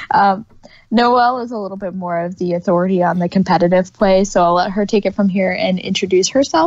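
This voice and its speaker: Speaking at a fairly quick pace, a woman with an American accent uses a medium pitch and fairly even intonation. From New York. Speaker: podcast co-host, librarian. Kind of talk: casual podcast chat.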